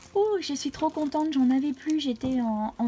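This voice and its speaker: A woman speaks at a moderate pace in a dark, mellow tone. Her pitch varies in an ordinary way. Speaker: crafting YouTuber. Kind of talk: casual craft haul video. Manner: hesitant, many fillers.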